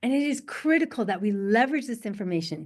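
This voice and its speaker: In a quiet background, a woman with a medium-pitched voice speaks in an animated tone, her pitch swinging very widely. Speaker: soil scientist. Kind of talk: webinar presentation. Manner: fast.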